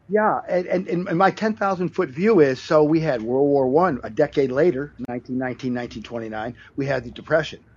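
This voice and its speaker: A man with an unremarkable speaking voice talks at a fairly slow pace, his fairly high pitch carrying lively intonation. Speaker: caller. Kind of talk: casual call-in chat. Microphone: poor connection.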